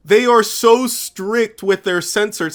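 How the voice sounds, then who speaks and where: Background music accompanies the voice. Words come out very slowly. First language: Spanish. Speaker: YouTube commentator. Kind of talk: commentary rant. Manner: animated; halting, filler words.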